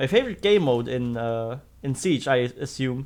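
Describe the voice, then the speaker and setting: In a very clean recording with a silent background, a man with a fairly high pitch speaks at a fairly slow pace with lively intonation. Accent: slight German. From Germany. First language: German. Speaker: video game streamer. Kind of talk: live gameplay commentary. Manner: casual, with frequent fillers and restarts.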